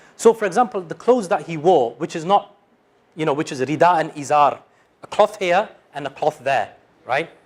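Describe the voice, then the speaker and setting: A man with a British accent speaks in a high pitch at a moderate pace. His intonation is lively, broken by long, frequent pauses. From United Kingdom. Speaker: Islamic studies teacher. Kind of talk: lecture. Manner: halting.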